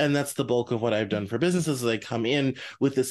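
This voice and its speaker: A man with an American accent has a normal speaking voice and ordinary pitch variation. The background is quiet. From US, Denver. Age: 30s. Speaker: podcast host. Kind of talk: interview.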